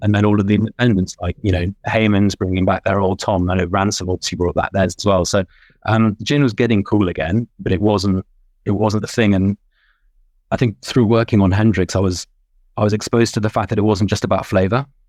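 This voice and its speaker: Speaking fairly quickly with a British accent, a man uses a fairly low voice and fairly even intonation, recorded with a dry, close sound, no echo and a quiet background. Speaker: gin judge and consultant. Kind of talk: podcast interview. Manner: halting, many fillers and repetitions.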